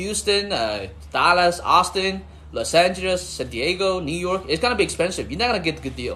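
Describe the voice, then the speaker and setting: This speaker has a Chinese accent. The pace is fairly quick. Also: man. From China. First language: Chinese (Mandarin and Cantonese). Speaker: livestreamer and real estate investor. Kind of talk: casual livestream chat. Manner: repetitive, halting phrasing.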